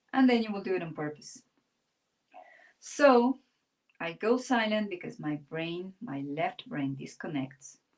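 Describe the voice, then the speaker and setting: A woman with a Spanish accent and a medium pitch speaks fairly slowly, with long, frequent pauses, very wide pitch swings and big swings in loudness. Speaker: art teacher. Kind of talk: live-stream drawing tutorial. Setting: live stream. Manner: pauses and goes silent while drawing.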